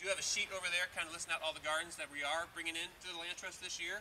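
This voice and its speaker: Very fast speech from a man, with light background noise behind it. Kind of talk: public address speech. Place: garden. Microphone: pa.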